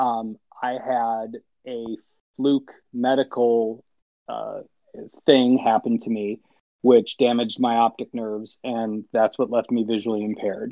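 With an American accent, a man talks at a fairly slow pace in a monotone, flat delivery, leaving long, frequent pauses. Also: medium pitch for a man. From Illinois. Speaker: visually impaired hockey player. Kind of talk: casual chat.

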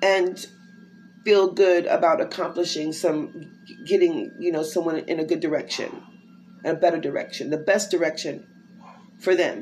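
Fairly low in pitch, a woman speaks with an American accent and fairly even intonation. She takes long, frequent pauses. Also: moderate pace. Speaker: inspirational podcaster. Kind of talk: devotional monologue. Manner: casual, conversational.

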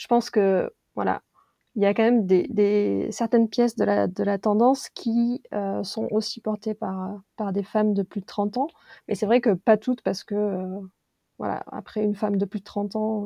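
At a fairly slow pace, a woman speaks with a dark, mellow tone, medium pitch and fairly even intonation, with a dry, close sound with no echo and a quiet background. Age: 30s. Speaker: brand and content manager. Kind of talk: casual discussion.

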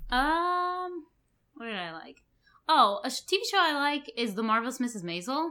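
In a very clean recording with a silent background, a woman with an American accent speaks fairly slowly in a high, bright, sharp, raised and projected voice, with very wide pitch swings and big swings in loudness. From New York City. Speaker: graduate student, bride-to-be. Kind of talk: casual chat.

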